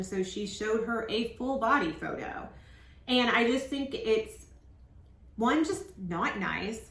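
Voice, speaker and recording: Her tone is animated, with lively intonation throughout. A woman's voice comes through audible room echo and noticeable background noise. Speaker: reality TV recap YouTuber. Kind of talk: casual recap monologue.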